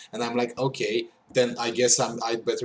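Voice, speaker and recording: A man with a Romanian accent at a moderate pace, over noticeable background noise. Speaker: podcast host. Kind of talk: casual chat. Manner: halting.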